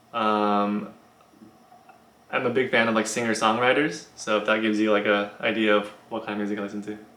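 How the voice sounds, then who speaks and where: A man with an American accent speaks at a fairly low pitch in a bright, sharp tone and a monotone, flat intonation. Audible room echo surrounds his voice. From US, partly raised in China. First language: Chinese. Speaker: YouTuber, college student. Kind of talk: casual Q&A vlog. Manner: hesitant, many fillers.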